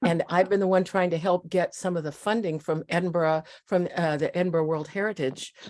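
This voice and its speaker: Speaking with a Midwestern accent, a woman talks at a fairly low pitch with hardly any pauses. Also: fairly even intonation, fairly quick pace. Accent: American Midwest. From US Midwest (Iowa and Nebraska). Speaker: community volunteer. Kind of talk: casual group video chat.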